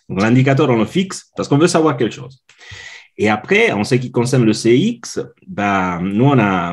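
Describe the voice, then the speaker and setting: A man speaks with an Italian accent at a medium pitch. His pitch swings very widely. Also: moderate pace. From Italy. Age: 40s. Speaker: customer experience consultant. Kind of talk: podcast interview. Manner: halting, many fillers.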